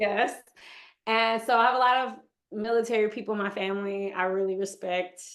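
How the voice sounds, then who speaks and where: A woman's fairly high voice with an American accent, at a fairly quick pace with ordinary pitch variation. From Texas (Houston) and Michigan. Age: 30s. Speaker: yoga instructor. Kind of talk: interview.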